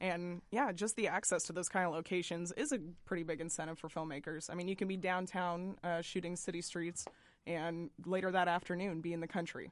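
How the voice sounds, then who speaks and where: A woman with an American accent and an unremarkable speaking voice talks fairly quickly at a fairly low pitch, her intonation fairly even. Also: quiet background. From Boston, US. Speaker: arts editor and journalist. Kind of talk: radio interview. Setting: radio studio.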